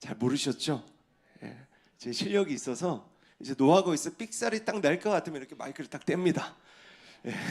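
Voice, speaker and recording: Talking at a fairly quick pace, a man with a fairly high voice swings very widely in pitch and greatly in loudness, leaving long, frequent pauses. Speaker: pastor. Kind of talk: sermon. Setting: church.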